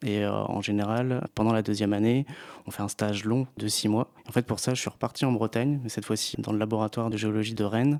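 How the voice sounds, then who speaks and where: A man speaks in a fairly low pitch. His intonation is flat and monotone. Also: dry, close sound with no echo. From Brittany, France (Finistère, Plougastel). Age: 30s. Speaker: geologist, science communicator. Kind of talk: interview. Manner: hesitant, many fillers.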